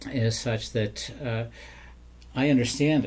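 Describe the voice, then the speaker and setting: A man speaks at a medium pitch with fairly even intonation and a somewhat breathy quality. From Maine. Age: 70s. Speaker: retired dentist. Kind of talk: interview.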